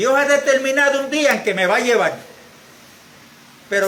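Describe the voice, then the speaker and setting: A man's raised, projected voice at an extremely high pitch, with audible room echo and noticeable background noise. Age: 70s. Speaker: church member. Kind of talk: church exhortation.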